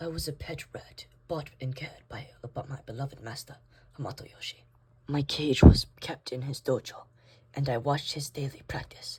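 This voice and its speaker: In a raspy, put-on character voice, the speaker talks at a low-to-middle pitch and a moderate pace. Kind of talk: storytelling narration. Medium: stop-motion fan film.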